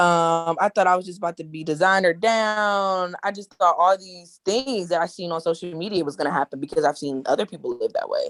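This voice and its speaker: With an ordinary speaking voice, a woman talks at a fairly quick pace with hardly any pauses, her pitch fairly low with ordinary variation, her loudness swinging widely, and the sound dry and close with no echo. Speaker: mom entrepreneur, trucking business owner. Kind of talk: casual panel discussion.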